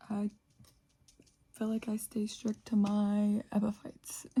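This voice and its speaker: A woman with an American accent speaks at a very slow pace in a relaxed, somewhat breathy voice, with a fairly high pitch and a dark, mellow tone. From West Virginia, Charleston. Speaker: plant YouTuber. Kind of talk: casual chat. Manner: relaxed, chatty.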